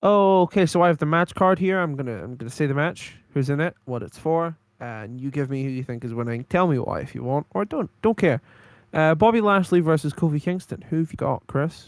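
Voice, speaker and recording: A man with a Geordie accent talks at a fairly quick pace, fairly high in pitch with lively intonation. The recording is very clean with a silent background and a dry, close sound with no echo. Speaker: podcast co-host. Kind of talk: casual chat.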